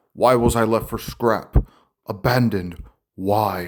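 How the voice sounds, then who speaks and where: A man puts on a character voice, pitched in the medium range and delivered at a fairly slow pace. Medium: read story. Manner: cold, measured.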